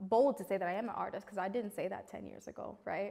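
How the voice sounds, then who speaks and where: A woman talks with a New York accent. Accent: New York American. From New York City. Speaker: multi-creative artist; interviewee. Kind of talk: interview testimony. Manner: loud. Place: studio. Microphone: lapel.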